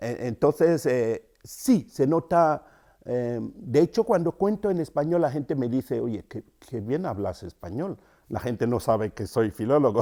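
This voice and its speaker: A man with a Cameroonian accent, dark, mellow tone, very wide pitch swings and fairly slow pace, in a very clean recording with a silent background. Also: medium pitch for a man. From Cameroon, rural. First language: Yambasa (speaking Spanish). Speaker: writer and storyteller. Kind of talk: interview. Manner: thoughtful, with hesitations.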